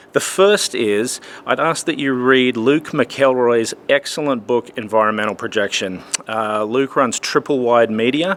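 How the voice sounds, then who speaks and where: A man's medium-pitched voice with ordinary pitch variation, at a fairly slow pace. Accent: Australian. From Australia. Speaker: church lighting technician and conference speaker. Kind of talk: promotional video message. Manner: casual, conversational.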